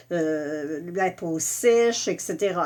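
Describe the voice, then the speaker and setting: A woman speaks in a Quebec accent. Her intonation is lively. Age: 60s. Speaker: makeup and skincare presenter. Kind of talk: live product tutorial. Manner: casual, hesitant with many fillers.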